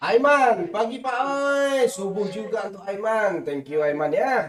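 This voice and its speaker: At a very slow pace, a man with a high pitch for a man speaks with very wide pitch swings. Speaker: game streamer. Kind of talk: live stream chat while gaming.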